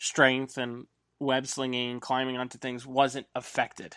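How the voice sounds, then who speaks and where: A man with an unremarkable speaking voice, a medium pitch and a fairly slow pace, against a quiet background. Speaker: podcast host. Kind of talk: casual chat.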